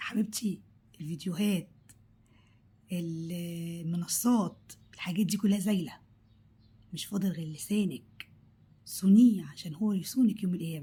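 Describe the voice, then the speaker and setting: Somewhat breathy and dark, mellow in tone, a woman speaks at a fairly slow pace with a fairly low pitch, ordinary pitch variation and long, frequent pauses. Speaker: cooking vlogger. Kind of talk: vlog monologue. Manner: animated; halting.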